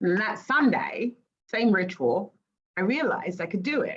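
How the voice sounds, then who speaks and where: Lively intonation marks this woman's speech with an English accent. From England. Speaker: life coach. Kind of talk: casual chat.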